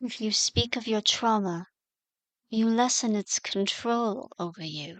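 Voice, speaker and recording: A put-on character voice, female-sounding and fairly high-pitched for a woman, speaks at a fairly slow pace in a calm, gentle tone. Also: quiet background. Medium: audio drama. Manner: calm, measured, gentle.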